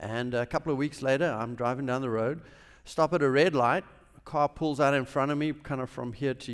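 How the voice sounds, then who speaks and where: A man speaks with a South African accent at a moderate pace. His pitch is medium, with ordinary variation. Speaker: businessman, chapel speaker. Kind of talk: chapel talk, personal testimony. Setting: university chapel service.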